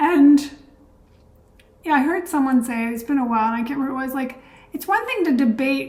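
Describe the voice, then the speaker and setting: A woman speaks with a high pitch. Room echo is audible. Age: 60s. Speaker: energy healer and channel host. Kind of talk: casual vlog monologue.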